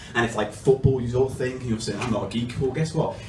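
A man at a very fast pace with ordinary pitch variation, audible room echo and light background noise. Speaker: stand-up comedian. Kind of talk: stand-up comedy routine. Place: stage.

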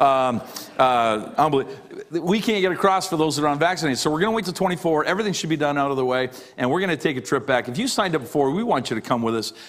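Speech rushes by at a very fast pace. The intonation is lively. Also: man. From Canada. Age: 50s. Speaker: pastor. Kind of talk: sermon. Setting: church. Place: church.

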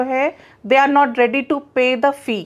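A woman with an Allahabad accent, at a fairly slow pace. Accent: Allahabadi Hindi. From India, Allahabad (Uttar Pradesh); Uttar Pradesh, India. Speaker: entrepreneur, skills training company founder; interviewee. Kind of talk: interview. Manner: frequent Hindi-English code-switching. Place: home room. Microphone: lapel.

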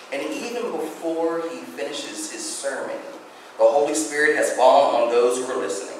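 A man is speaking in a room with strong echo. Light background noise is present. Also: moderate pace. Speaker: guest preacher. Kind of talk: sermon. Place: church. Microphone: podium.

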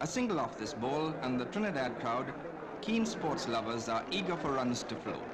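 Against noticeable background noise, a man sounds excited as he speaks at a moderate pace with very wide swings in pitch. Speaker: cricket commentator. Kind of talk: 1965 cricket film commentary, scripted newsreel-style narration. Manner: brisk, clipped, formal newsreel delivery; measured, polished, gently excited at key moments.

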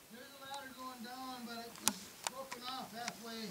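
The speaker goes at a fairly slow pace. Loud background noise is present. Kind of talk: casual exploration commentary. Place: tunnel cave. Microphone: phone near.

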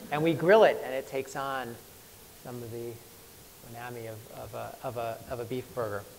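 Light background noise accompanies a man with an American accent who speaks at a moderate pace with fairly even intonation and long, frequent pauses. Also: big swings in loudness. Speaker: chef. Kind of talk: talk to live audience. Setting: stage with audience. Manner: halting. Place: hall. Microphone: lapel.

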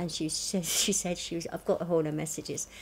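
Somewhat breathy speech at a fairly quick pace, monotone and flat in intonation, over light background noise. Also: woman. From southern England. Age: 60s. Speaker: cancer patient fundraising; interviewee. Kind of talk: interview. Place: home room.

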